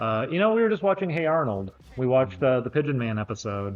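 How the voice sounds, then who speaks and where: The speech runs at a fairly quick pace. Music plays in the background. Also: man. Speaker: streamer. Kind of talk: livestream talk to chat.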